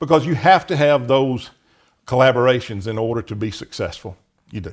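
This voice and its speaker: A man with a Southern US accent, in a very clean recording with a silent background. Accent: Southern US (Georgia). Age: 60s. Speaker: county commissioner. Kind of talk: interview.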